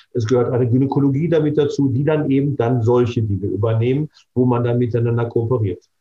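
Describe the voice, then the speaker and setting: The speech moves at a very fast pace, somewhat breathy. Intonation stays fairly even, and loudness holds very even. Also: man, medium pitch for a man. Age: 60s. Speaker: dermatologist and cosmetic surgeon. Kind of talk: interview.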